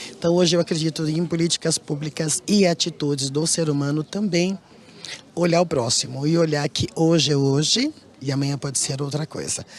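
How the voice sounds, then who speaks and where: A plain, everyday voice from a man, at a moderate pace with fairly even intonation. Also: fairly high pitch for a man. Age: 60s. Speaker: interviewee in report. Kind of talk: interview.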